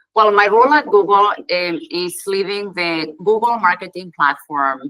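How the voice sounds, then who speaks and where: Here a woman speaks with a strong Catalan accent. Her medium pitch carries lively intonation. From Spain (Catalonia). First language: Spanish. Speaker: tech company executive. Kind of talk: conference presentation. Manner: fast.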